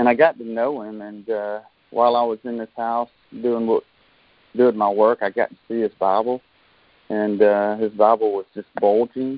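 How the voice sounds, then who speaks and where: This man talks at a moderate pace and medium pitch, his intonation monotone and flat while his loudness swings widely. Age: 40s. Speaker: devotional speaker. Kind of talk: devotional talk.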